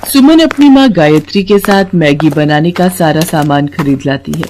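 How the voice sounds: A woman's low-pitched voice with a dark, mellow tone, lively intonation and a moderate pace.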